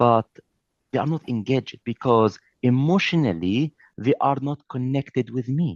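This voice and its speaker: At a moderate pace, a man with a non-native accent talks at medium pitch with ordinary pitch variation, in a dry, close sound with no echo. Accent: noticeable foreign. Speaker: trainer. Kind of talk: lecture. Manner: animated.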